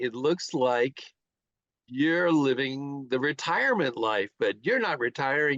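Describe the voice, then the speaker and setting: A man's fairly high-pitched voice at a very slow pace, with ordinary pitch variation and a dry, close sound with no echo over a quiet background. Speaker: interviewer.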